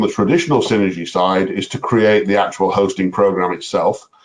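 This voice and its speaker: A man speaks with lively intonation. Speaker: software presenter. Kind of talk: tutorial. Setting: webinar. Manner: fast.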